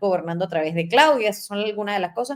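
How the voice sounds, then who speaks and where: A woman speaks in a Venezuelan accent. Her pitch is fairly high, with ordinary pitch variation. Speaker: talk show host. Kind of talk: interview on current affairs. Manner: halting, with many fillers.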